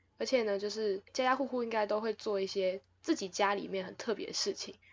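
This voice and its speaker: A woman at medium pitch, fairly quick in pace, with ordinary pitch variation. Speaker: podcast host. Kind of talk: casual chat. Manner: loud.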